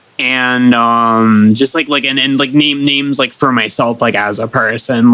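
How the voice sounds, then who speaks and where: A man with an American accent, medium pitch, and monotone, flat intonation, over noticeable background noise. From Florida. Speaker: musician and DJ. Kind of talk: casual chat. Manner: halting, many fillers and repetitions; matter-of-fact.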